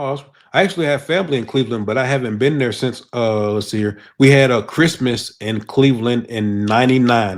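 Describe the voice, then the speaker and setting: With an American accent, this is an ordinary speaking voice at a fairly quick pace with ordinary pitch variation. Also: man, medium pitch for a man. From South Georgia, US South. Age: 40s. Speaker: podcast host. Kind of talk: casual interview.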